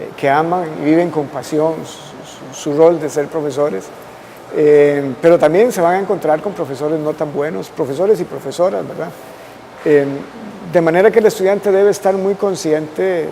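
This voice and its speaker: A man with a fairly high voice speaks at a moderate speed while noticeable background noise continues. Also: ordinary pitch variation. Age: 60s. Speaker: constitutional lawyer. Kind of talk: interview.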